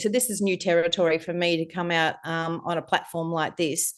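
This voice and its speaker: A woman with an Australian accent, fairly low in pitch, with fairly even intonation against a quiet background. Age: 60s. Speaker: life coach and entrepreneur. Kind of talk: podcast interview. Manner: hesitant with many fillers.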